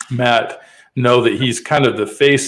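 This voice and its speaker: A man with a Western US accent and medium pitch. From Utah, US. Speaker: podcast host. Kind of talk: interview.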